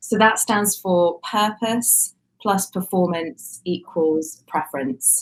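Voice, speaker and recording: A woman's somewhat breathy voice with a British accent, medium pitch, ordinary pitch variation and a very slow pace. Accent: British, similar to host's. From UK. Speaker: communications agency executive. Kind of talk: interview.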